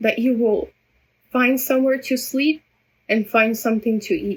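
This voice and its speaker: A woman's high pitch with ordinary pitch variation at a fairly slow pace. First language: Russian. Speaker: vlogger. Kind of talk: personal vlog monologue. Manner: halting, many repetitions.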